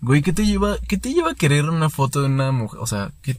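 Here a man talks with lively intonation. His voice is somewhat breathy. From Mexico, Querétaro. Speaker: podcast co-host. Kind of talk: casual chat.

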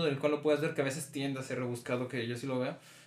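There is noticeable background noise throughout. Through it, a man talks. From Mexico. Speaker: podcast host. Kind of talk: casual chat.

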